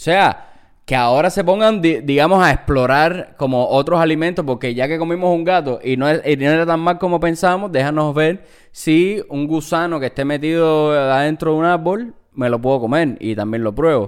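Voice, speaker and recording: A man speaks in a normal speaking voice at a fairly high pitch. His pace is moderate, with ordinary pitch variation. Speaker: podcast co-host. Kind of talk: casual chat.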